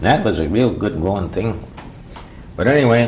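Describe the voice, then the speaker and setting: A man with an American accent speaks with lively intonation over noticeable background noise. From Bayfield, Wisconsin (US Upper Midwest). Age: 70s. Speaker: local elder telling oral history. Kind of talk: oral history interview. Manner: conversational, meandering with frequent fillers.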